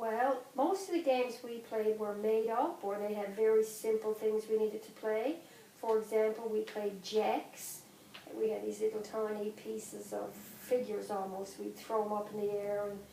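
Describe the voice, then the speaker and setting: In a Newfoundland accent, a woman speaks at a fairly slow pace with a fairly high pitch and fairly even intonation. Her loudness swings a lot over noticeable background noise. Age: 50s. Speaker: grandmother. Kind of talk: interview.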